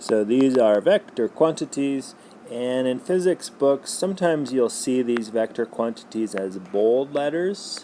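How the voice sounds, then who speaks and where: Noticeable background noise sits behind a man speaking at a fairly slow pace. His medium-pitched voice has lively intonation. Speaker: physics teacher. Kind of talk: lecture. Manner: loud.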